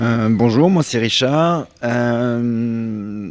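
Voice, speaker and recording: With a medium pitch, the man speaks with ordinary pitch variation. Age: 50s. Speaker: entrepreneur. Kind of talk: panel discussion. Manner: halting.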